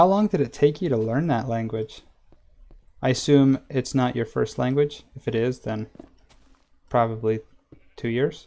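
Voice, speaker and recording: A man with a Western US accent, medium pitch, dark and mellow tone, ordinary pitch variation, moderate pace and long, frequent pauses. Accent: Western American. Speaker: gaming streamer. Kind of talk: live stream gameplay chat. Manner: casual, chatty.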